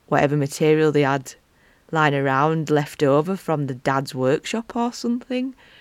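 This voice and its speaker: A woman with a strong Yorkshire accent speaks at a very deep, low pitch, recorded very cleanly with a silent background and a dry, close sound with no echo. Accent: strong Wakefield. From northern England, Wakefield. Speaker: podcast host, pagan witch. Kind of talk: casual chat monologue. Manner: animated.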